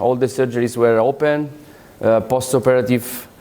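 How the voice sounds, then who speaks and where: The speaker is a man at medium pitch. He talks at a moderate pace. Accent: Italian. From Italy, Rome. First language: Italian. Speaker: orthopaedic surgeon. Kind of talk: conference lecture. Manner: halting, with many fillers.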